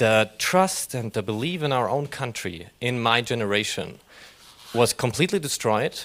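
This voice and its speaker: A man with a German accent speaks at a medium pitch. His intonation is lively. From Germany. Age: young. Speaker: audience member. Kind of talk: audience question. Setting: panel session with live audience.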